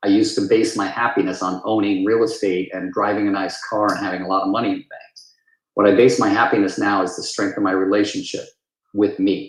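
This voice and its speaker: A man at a very fast pace, fairly low in pitch, with monotone, flat intonation. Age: 60s. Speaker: real estate agent. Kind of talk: testimony.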